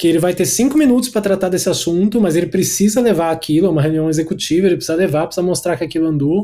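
A man with a high pitch speaks in a dark, mellow tone. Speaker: designer and creative director. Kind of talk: casual interview.

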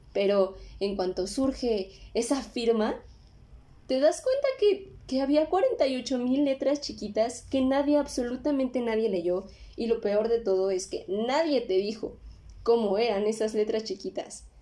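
In a Mexico City accent, a woman speaks at a fairly slow pace. Her pitch is fairly high and her intonation lively. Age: 20s. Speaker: podcast host. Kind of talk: casual monologue. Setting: home recording. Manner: animated.

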